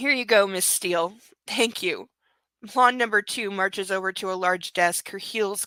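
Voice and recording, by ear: Quiet background, ordinary pitch variation, and reading aloud in a natural voice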